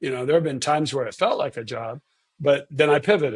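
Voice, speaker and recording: Somewhat breathy, a man talks with a fairly high pitch. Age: 60s. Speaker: neurosurgeon. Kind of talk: interview. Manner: halting, many repeated words.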